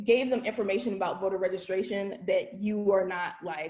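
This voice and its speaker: Her voice unremarkable, a woman speaks at a medium pitch and moderate pace with ordinary pitch variation. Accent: American. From Virginia, US. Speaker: voter registration trainer. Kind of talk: training presentation.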